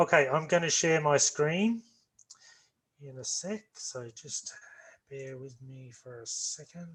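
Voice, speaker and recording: In a strong Australian accent, a man speaks at a very slow pace with long, frequent pauses. His pitch is fairly high for a man, with ordinary pitch variation. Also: big swings in loudness. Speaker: orthopaedic nursing lecturer. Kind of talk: online lecture. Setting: video call. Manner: slow, deliberate.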